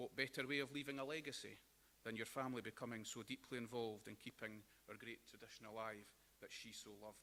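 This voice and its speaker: This man has a bright, sharp tone. He talks at a very fast pace with fairly even intonation. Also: medium pitch for a man. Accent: West Lothian. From Scotland, Linlithgow. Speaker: celebrant, after-dinner speaker. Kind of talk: after-dinner speech. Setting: breakfast hall with audience.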